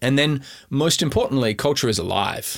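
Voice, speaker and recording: This man's intonation is lively. He has an Australian accent. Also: very clean recording, silent background. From South Australia, Adelaide Hills. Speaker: tech company founder and CEO. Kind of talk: interview.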